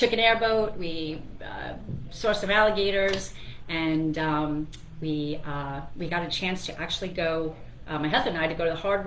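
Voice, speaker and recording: There is noticeable background noise and audible room echo as a woman speaks at a fairly low pitch. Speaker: radio host and financial planner. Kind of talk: radio talk show monologue. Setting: radio studio. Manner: fast; chatty, with many fillers.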